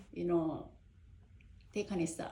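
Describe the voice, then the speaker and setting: Somewhat breathy, a woman with a Korean accent speaks at a fairly low pitch. Audible room echo is present. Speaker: parent. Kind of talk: casual chat. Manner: halting.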